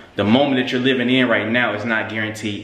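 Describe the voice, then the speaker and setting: A man talks in a monotone, flat way, with audible echo from the room. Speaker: vlogger. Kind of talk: casual vlog chat. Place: gym. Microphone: phone near.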